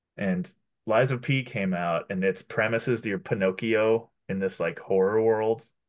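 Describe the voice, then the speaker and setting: Over a quiet background, a man with a plain, everyday voice and a fairly low pitch speaks with ordinary pitch variation. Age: 30s. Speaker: podcast co-host. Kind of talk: casual chat.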